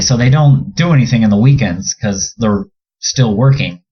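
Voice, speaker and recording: Speaking at a fairly quick pace, a man with an American accent sounds somewhat breathy and uses ordinary pitch variation. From Southern California. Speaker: professional basketball player. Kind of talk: casual chat.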